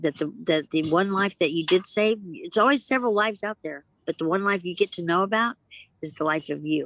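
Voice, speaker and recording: With a normal speaking voice, a woman talks at a moderate pace and a medium pitch with ordinary pitch variation, the sound dry and close with no echo. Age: 60s. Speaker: guest sharing recovery story. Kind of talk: casual chat.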